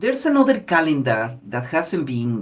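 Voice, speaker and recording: The speaker has a Guatemalan accent and talks at a moderate pace. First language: K'iche'. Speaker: Maya spiritual guide. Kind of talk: explanatory talk.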